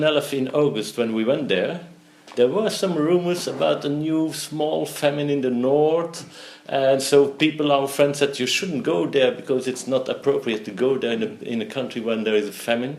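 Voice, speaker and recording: A man with a Flemish accent speaks at a moderate pace in a fairly high pitch with lively intonation. Noticeable background noise and audible room echo fill the recording. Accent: Belgian Dutch (Flemish) accent in English. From Belgium. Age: 60s. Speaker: entrepreneur. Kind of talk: interview. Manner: halting.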